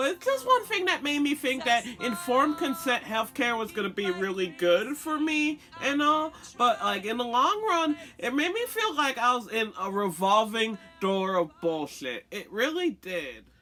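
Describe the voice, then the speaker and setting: A woman speaks in a high voice with very wide pitch swings, and there is noticeable background noise. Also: moderate pace. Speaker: transgender vlogger. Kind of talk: casual vlog monologue. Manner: animated.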